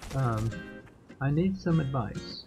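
A man talking at a very slow pace over noticeable background noise. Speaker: gamer. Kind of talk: casual talk to camera.

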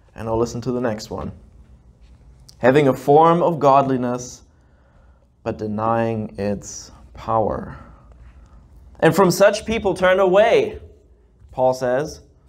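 A man talks at a very slow pace with long, frequent pauses. His intonation is lively, and the background is quiet. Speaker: preacher. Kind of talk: sermon. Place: church. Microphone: handheld.

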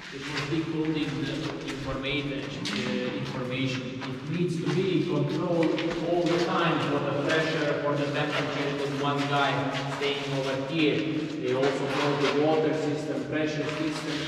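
With music in the background and audible room echo, a man talks at a moderate pace. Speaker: tour guide. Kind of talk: guided tour explanation. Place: tunnel cave. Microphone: camera far.

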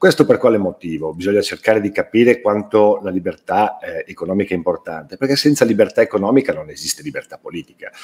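A man talks at a very fast pace with hardly any pauses. His loudness swings widely. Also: quiet background. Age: 60s. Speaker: writer and publisher; interviewee. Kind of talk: interview. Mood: earnest, indignant. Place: home room. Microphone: webcam.

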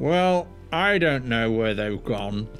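A man's mumbling, put-on character voice at medium pitch, with clear music in the background. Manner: mumbling, dark.

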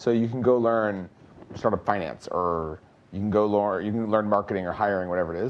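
Over light background noise, a man with an unremarkable speaking voice talks at a fairly quick pace, his pitch fairly low and his intonation fairly even. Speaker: startup founder, panelist; panelist. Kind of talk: panel discussion. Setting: stage with live audience. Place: stage.

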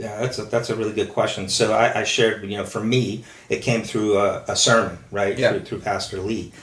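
In a room with audible echo, a man speaks in a flat monotone at medium pitch, fairly quick and with hardly any pauses. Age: 50s. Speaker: recovering alcoholic sharing his story. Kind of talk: testimony.

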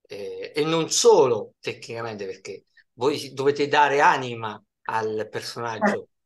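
With big swings in loudness, a man talks at a fairly slow pace. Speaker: interviewer / host. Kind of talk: interview question. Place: home room. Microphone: video call.

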